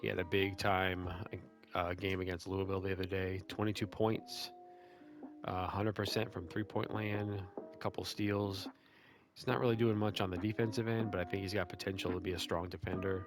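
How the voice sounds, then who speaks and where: With music behind him, a man talks quietly in a very deep, low voice and a flat, monotone delivery. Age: 40s. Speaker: sports video game content creator. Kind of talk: casual sports analysis commentary.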